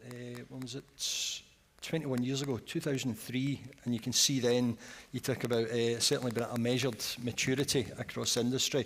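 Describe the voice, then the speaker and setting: Monotone and flat in intonation, a man speaks with a Scottish accent. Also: medium pitch for a man, fairly quick pace. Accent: Scottish, noticeable. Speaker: energy industry executive. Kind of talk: panel discussion. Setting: conference stage, live broadcast.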